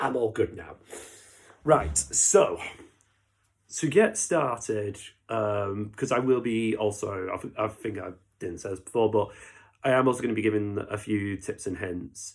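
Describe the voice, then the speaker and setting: With a British accent, a man at a fairly low pitch speaks with long, frequent pauses and big swings in loudness on a very clean recording with a silent background. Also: ordinary pitch variation. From Britain. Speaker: miniature painting YouTuber. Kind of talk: unscripted casual tutorial commentary. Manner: hesitant, many fillers.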